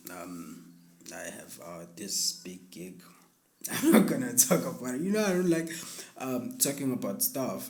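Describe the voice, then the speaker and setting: With long, frequent pauses and big swings in loudness, a man speaks at a fairly slow pace amid audible room echo and noticeable background noise. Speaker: musician and music producer. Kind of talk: casual interview.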